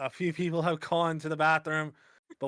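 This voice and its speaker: Here a man speaks at a moderate pace in a plain, everyday voice with fairly high pitch. The sound is dry and close, with no echo. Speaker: esports caster. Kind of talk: live commentary. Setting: online voice call.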